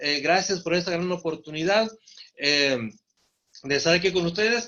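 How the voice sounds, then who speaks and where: The man's voice is high-pitched, with ordinary pitch variation. He keeps a moderate pace. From Mexico, Torreón, Coahuila (La Laguna region). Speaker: preacher. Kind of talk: sermon. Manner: halting, many fillers.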